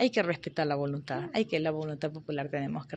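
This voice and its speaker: A woman's very deep, low pitch with vocal fry at a fairly quick pace, over light background noise. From Ecuador, Arenillas, El Oro; El Oro, Ecuador. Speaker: politician. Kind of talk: interview. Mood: warm, reflective. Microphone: handheld.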